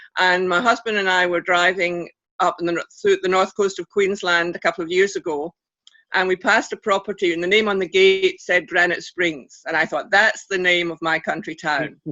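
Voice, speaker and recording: Woman with a Scottish accent, medium pitch, fairly even intonation and moderate pace. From Scotland. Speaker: author. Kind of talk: interview. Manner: halting, many fillers.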